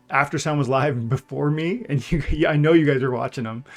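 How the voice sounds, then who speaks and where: A man talks while music runs in the background. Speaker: gaming YouTuber / livestreamer. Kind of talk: live stream chat. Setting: livestream. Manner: fast; animated.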